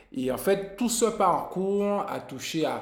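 In a room with audible echo, a man speaks with lively intonation. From Guadeloupe. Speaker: musician and music teacher. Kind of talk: interview. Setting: music school.

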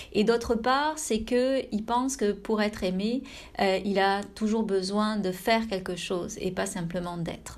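A woman's medium-pitched voice is heard with audible room echo. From France. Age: 30s. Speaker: meditation teacher and podcast host. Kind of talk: personal reflection monologue. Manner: intimate, soft-spoken; hesitant, with frequent fillers.

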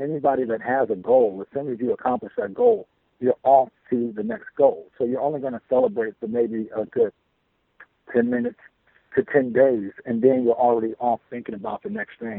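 A man with an American accent and a plain, everyday voice talks at a fairly quick pace, medium pitch and ordinary pitch variation. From Chicago. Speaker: DJ and entrepreneur. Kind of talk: interview.

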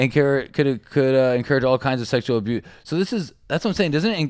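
A man's ordinary speaking voice, fairly high in pitch, at a fairly quick pace with lively intonation, on a very clean recording with a silent background. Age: 30s. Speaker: comedian and video maker. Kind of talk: casual joking chat.

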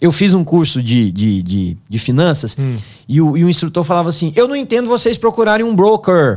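His voice makes very wide pitch swings. This man speaks at a fairly high pitch. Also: moderate pace. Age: 50s. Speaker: pastor and finance teacher. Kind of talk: casual chat.

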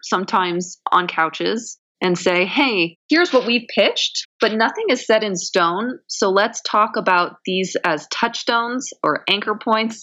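A woman with an American accent talks at a fairly high pitch in a bright, sharp tone. Her pace is fairly slow with hardly any pauses and ordinary pitch variation. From Southern California. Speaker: television writer. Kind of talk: interview.

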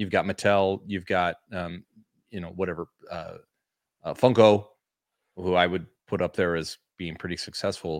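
In a very clean recording with a silent background, a man with a very deep, low pitch talks in a monotone, flat intonation with long, frequent pauses. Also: moderate pace, dry, close sound with no echo. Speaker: toy collecting podcast co-host. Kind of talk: casual chat. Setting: livestream.

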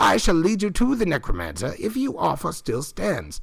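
A man's put-on character voice, high in pitch and at a moderate pace, on a very clean recording with a silent background. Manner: formal, grandiose.

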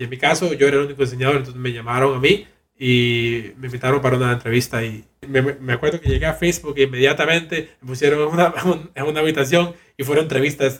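Speaking at a very fast pace, a man keeps his medium-pitched voice in fairly even intonation. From Cuba and Costa Rica. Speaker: virtual reality designer. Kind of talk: interview conversation.

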